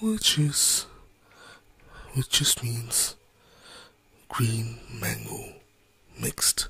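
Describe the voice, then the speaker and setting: Speech comes at a very slow pace with long, frequent pauses. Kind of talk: ASMR cooking tutorial. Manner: soft-spoken; relaxing.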